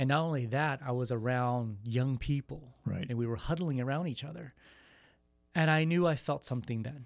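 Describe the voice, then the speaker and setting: At a moderate pace, a man with a Californian accent talks at medium pitch with ordinary pitch variation. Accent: Californian American English. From San Jose, California. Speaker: youth ministry coordinator. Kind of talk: radio interview.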